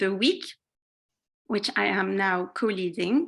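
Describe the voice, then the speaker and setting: Her tone bright and sharp, a woman talks at a fairly slow pace. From Colombia, Lebanon and France. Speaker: community builder and facilitator. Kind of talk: talk to an online group.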